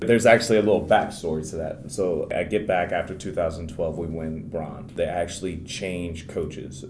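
A man with a very deep, low pitch speaks at a moderate pace. Music plays in the background. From Maryland, US. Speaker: Paralympic wheelchair basketball player. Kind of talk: interview.

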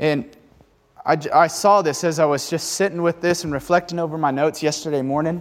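This man talks at a fairly quick pace in an animated tone, his pitch fairly high for a man. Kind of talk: sermon. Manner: fervent, exhortative preaching, urging the congregation to repeat and proclaim phrases; animated, conversational, and challenging, with a direct call-and-response rhythm.

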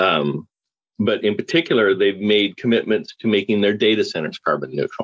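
The speaker has a Canadian accent and lively intonation. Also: man, fairly low pitch for a man, moderate pace. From Canada, Calgary. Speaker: systems integrator engineer. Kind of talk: casual panel discussion. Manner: halting, many repetitions.

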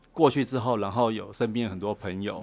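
With music in the background, a man talks at a moderate pace and fairly low pitch, his intonation fairly even. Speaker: design director. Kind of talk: interview. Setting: studio.

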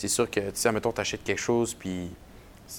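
The intonation is monotone and flat. This man's voice sits fairly low in pitch. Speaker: podcast host, marketing coordinator. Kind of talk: podcast interview.

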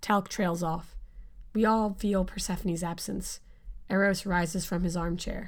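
The reading voice sounds unforced. Its pitch stays fairly level.

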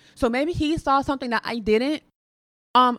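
Dry and close with no echo, a woman's high, bright, sharp voice moves with ordinary pitch variation. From Chicago. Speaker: podcast guest. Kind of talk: casual chat.

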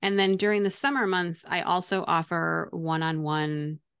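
Speaking at a moderate pace in an ordinary speaking voice, a woman with a fairly low pitch uses ordinary pitch variation against a quiet background. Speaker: teacher turned online business coach. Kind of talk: interview.

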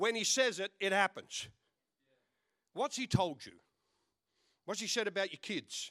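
A man speaks in a high, bright, sharp voice with ordinary pitch variation and big swings in loudness. His fairly slow delivery has long, frequent pauses, recorded very cleanly against a silent background with a dry, close sound and no echo. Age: 60s. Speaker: pastor. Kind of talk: lively, joking Pentecostal-style church sermon with audience call-and-response. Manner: punctuated by laughter, playful bantering delivery.

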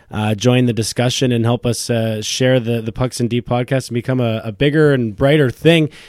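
A man's slightly mellow tone with fairly even intonation. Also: medium pitch for a man, moderate pace.

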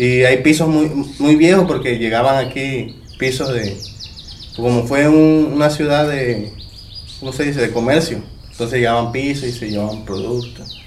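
A man's voice, with normal pitch movement, echoes in the room over clearly audible background noise. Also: medium pitch for a man, moderate pace. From Mexico, Veracruz (Tlacotalpan). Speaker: instrument maker. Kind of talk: interview testimony. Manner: hesitant, filler-heavy.

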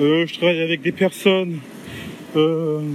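Amid noticeable background noise, a man with a fairly high pitch speaks at a fairly slow pace with fairly even intonation. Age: 30s. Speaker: podcaster and aspiring entrepreneur. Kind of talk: solo podcast monologue. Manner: halting, with many hesitations.

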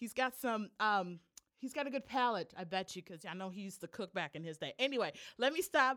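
In an animated tone, a woman's voice swings very widely in pitch. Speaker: podcast host. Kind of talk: casual chat.

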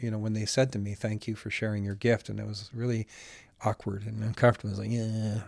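A man speaks with a Western Canadian accent. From Alberta, Canada. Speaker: singer-songwriter. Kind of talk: casual chat.

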